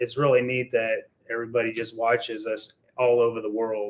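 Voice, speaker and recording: A man speaks at a moderate pace and a medium pitch. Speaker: RC hobby YouTuber. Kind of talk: casual live stream chat. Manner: hesitant, says um often.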